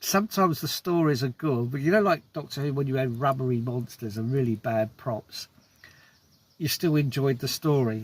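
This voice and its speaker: Ordinary pitch variation in a somewhat breathy voice. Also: man, medium pitch for a man, moderate pace. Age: 60s. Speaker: film reviewer vlogger. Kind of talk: casual film review monologue. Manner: hesitant with repetitions.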